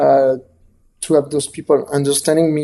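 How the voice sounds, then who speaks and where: A man's dark, mellow tone with a strong French accent at a moderate pace. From south of France. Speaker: photographer and author. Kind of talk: interview. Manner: halting, many fillers and repetitions.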